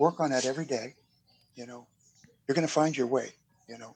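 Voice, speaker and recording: This is a man speaking with an American accent. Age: 60s. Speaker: death row inmate. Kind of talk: interview. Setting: video call from prison. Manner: halting, many fillers.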